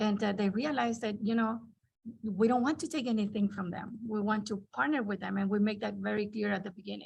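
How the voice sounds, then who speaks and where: Somewhat breathy, a woman speaks at a fairly quick pace. Her pitch is fairly high, with ordinary variation. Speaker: archivist, conference panelist. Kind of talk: roundtable panel discussion. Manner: halting, many restarts.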